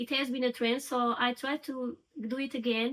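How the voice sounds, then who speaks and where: The speech, in a Portuguese accent, moves fairly slowly. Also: woman. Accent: Portuguese, noticeable. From Portugal. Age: 30s. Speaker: crochet crafter and vlogger. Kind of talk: casual get-to-know-me vlog.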